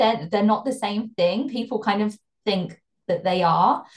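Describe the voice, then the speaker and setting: A woman with a British accent speaks at a moderate pace and medium pitch. Her voice is somewhat breathy. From UK. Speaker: fashion brand consultant. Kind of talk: interview.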